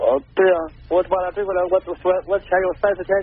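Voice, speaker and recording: Speaking fairly quickly, the man has a high pitch. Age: 40s. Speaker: caller. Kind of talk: call-in advice. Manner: halting.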